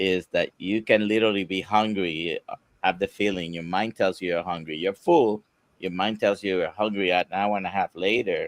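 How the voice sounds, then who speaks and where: A normal speaking voice from a man, fairly low in pitch, at a moderate pace with fairly even intonation and a dry, close sound with no echo. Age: 60s. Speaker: doctor. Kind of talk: live Q&A panel.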